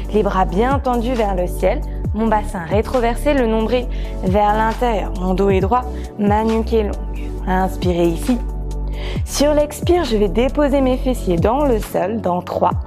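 Clear music plays behind a woman who speaks at a fairly slow pace with long, frequent pauses and very even loudness. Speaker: yoga instructor. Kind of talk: guided yoga class instruction.

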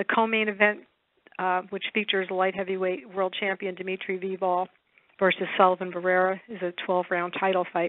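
A woman speaks in monotone, flat intonation, the sound dry with no echo. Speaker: call moderator or publicist. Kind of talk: formal announcement. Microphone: phone line.

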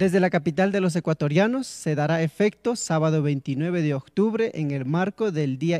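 Recorded very cleanly with a silent background and a dry, close sound with no echo, a man with a dark, mellow tone speaks at a fairly high pitch and moderate pace. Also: hardly any pauses. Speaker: pageant organizer. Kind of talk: interview.

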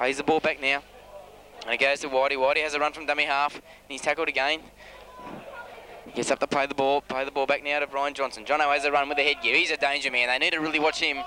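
A man talking at a very fast pace in a monotone, flat intonation, with a dry sound with no echo and light background noise. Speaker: amateur match commentator. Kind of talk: sports commentary. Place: open country. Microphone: old recording.

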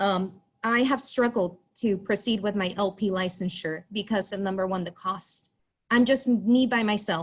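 With ordinary pitch movement, a woman talks in a somewhat breathy voice of medium pitch. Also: moderate pace. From US-Mexico border, Texas. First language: Spanish. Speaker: school psychologist. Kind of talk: public comment. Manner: halting.

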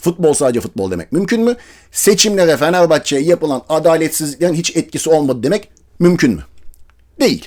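This voice moves at a fairly quick pace, its intonation lively and its tone animated. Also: man, fairly high pitch for a man. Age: 40s. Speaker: football commentator youtuber. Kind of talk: casual monologue.

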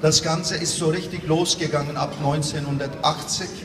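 Noticeable background noise sits behind a man with a fairly high voice. He speaks at a very slow pace with monotone, flat intonation. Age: 60s. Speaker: tourism industry representative. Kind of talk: interview; gala speech. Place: hall.

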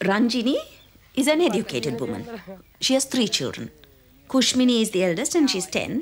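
Her voice has a slightly husky edge, as the woman speaks at a moderate pace with a fairly high pitch and big pitch swings.

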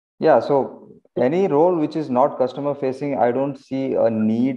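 Over a quiet background, a man with an Indian accent talks at a moderate pace. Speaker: engineering manager and career advice channel host. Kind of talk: online community Q&A meeting. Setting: video call. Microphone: video call.

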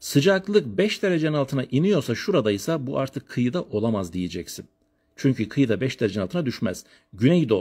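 Against a quiet background, a man speaks at a fairly quick pace in an animated tone, somewhat breathy, his pitch swinging very widely. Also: medium pitch for a man. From Turkey, Elazığ; Turkey. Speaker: geography teacher. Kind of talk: lecture. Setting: live stream from family home. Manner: fast. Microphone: phone near.

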